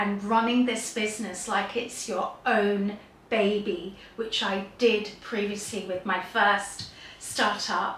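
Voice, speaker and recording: A woman speaks at a very slow pace. Audible room echo and noticeable background noise fill the recording. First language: Gujarati. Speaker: YouTuber sharing career story. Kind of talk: personal storytelling monologue.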